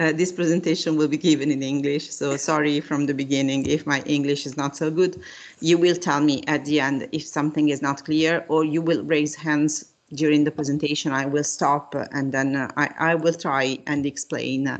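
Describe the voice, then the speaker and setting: A woman's very deep, low voice in a non-native accent, monotone and flat, at a moderate pace against a quiet background. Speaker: university professor. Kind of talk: lecture. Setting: video call. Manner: halting.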